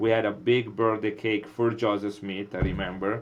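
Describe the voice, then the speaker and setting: Delivered at a moderate pace, a man's fairly low voice carries an Italian accent and a monotone, flat intonation. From Italy, Milan. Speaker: molecular biologist. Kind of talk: interview. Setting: podcast. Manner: hesitant, many fillers.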